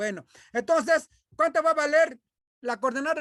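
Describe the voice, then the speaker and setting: Loud speech comes through on a very clean recording with a silent background. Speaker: math teacher. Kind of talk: lecture.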